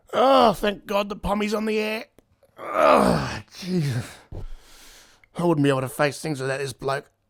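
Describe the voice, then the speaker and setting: A man puts on a raspy character voice. His pitch swings very widely. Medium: comedy sketch.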